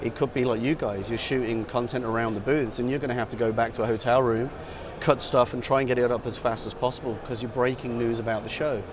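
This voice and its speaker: A man talks at a very fast pace in a monotone, flat intonation. Noticeable background noise sits under a dry sound with no echo. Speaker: product sales director. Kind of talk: product demo explanation. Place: hall.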